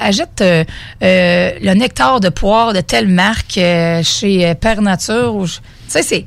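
A woman speaks at a medium pitch with lively intonation in an ordinary speaking voice. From Beauce, Quebec. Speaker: mobile cocktail bartender, entrepreneur. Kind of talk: radio interview. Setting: radio studio.

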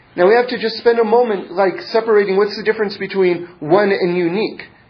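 Noticeable background noise is present. The room gives off an audible echo. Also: man. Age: 40s. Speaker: Torah teacher. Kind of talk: lecture. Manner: halting.

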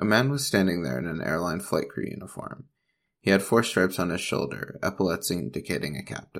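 Vocal fry runs through a fairly quick delivery with lively intonation. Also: man, very deep, low pitch for a man. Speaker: ghost story narrator. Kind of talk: ghost story telling, reading a story aloud.

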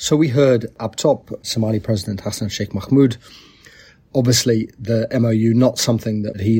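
Fairly quick and somewhat breathy, the man's medium-pitched voice has a dark, mellow tone and fairly even intonation. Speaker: podcast host. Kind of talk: interview discussion on politics.

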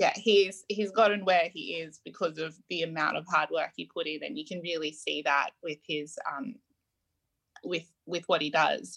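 Here a woman speaks with an Australian accent. Her pitch is fairly low. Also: ordinary pitch variation, moderate pace. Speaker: podcast host. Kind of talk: interview. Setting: video call.

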